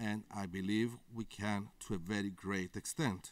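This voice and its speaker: The man speaks with a Greek accent. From Greece. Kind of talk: conference interview.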